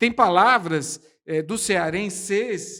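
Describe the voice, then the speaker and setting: A man with a São Paulo accent projects a raised, high-pitched voice with a bright, sharp tone and ordinary pitch variation. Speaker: podcast host. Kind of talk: casual chat. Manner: animated, exaggerated delivery.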